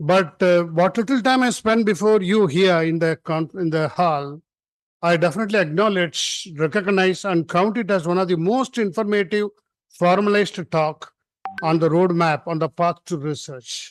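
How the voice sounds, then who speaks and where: Using a high pitch, a man talks at a moderate pace with ordinary pitch variation. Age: 70s. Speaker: conference speaker. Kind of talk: formal speech. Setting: conference hall with audience. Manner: informal, unscripted.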